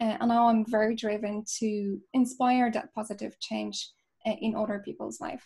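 A woman talks at a moderate pace in a fairly high voice with a dark, mellow tone. Her delivery is somewhat breathy, and her intonation stays fairly even. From Poland. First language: Polish. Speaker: chartered accountant and youth advocate. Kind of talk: interview.

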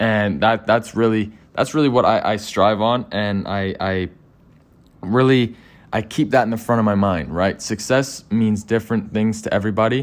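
A man speaks at a moderate pace in a fairly low pitch with fairly even intonation, on a very clean recording with a silent background. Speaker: entrepreneur guest. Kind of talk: casual interview. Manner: conversational, hesitant with fillers.

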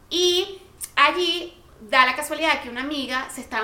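A woman uses a raised, projected voice with ordinary pitch variation, amid noticeable background noise and audible room echo. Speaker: podcast co-host. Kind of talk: casual chat. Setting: home studio.

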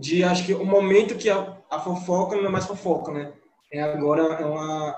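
In a room with audible echo, a man talks at a high pitch. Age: 20s. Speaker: art teacher and student. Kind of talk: casual chat. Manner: stammering.

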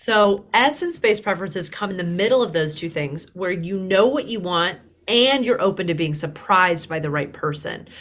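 With an American accent and a plain, everyday voice, a woman speaks at a moderate pace and medium pitch. Her intonation is lively, and she hardly pauses. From US South. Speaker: dating coach. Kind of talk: casual chat. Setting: video call.

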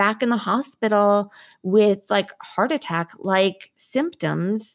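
A plain, everyday voice with lively intonation, dry and close with no echo, on a very clean recording with a silent background. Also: woman. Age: 40s. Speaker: COVID survivor and patient advocate. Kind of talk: interview conversation.

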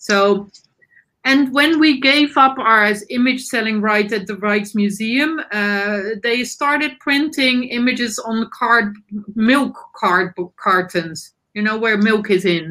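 A woman with a Dutch accent speaks at a very slow pace, her fairly high voice bright and sharp in tone, with ordinary pitch variation. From Netherlands. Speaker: nonprofit board member. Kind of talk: panel discussion. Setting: video call.

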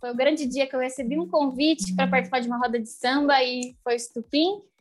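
A woman talks with a high pitch. Her pitch moves with ordinary variation. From Brazil, São Bernardo do Campo (São Paulo). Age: young. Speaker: clarinetist and singer. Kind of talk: casual interview.

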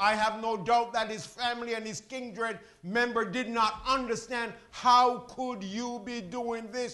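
An extremely high-pitched man's raised, projected voice, monotone and flat, at a fairly slow pace amid noticeable background noise. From Jamaica. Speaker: preacher. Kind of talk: sermon. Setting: church.

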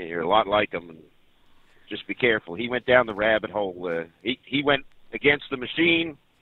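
This man has an unremarkable speaking voice at medium pitch. He talks at a fairly quick pace. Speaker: caller, former auxiliary police. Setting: phone call. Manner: rambling, humorous, profane.

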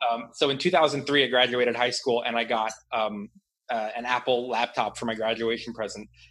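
At a moderate pace, a man talks in an unremarkable speaking voice of medium pitch with fairly even intonation. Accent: American. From Washington D.C. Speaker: stock trader. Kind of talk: casual chat.

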